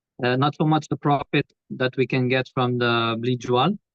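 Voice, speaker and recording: Very slowly, a man talks with ordinary pitch variation. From Portugal. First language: Portuguese (speaking Indonesian). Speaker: property investor. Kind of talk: webinar interview. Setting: video call. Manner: halting.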